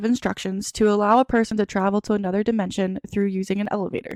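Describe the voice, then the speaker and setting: Captured with a dry, close sound and no echo, a woman with a fairly high pitch talks at a very fast pace. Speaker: podcast host. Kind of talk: casual chat.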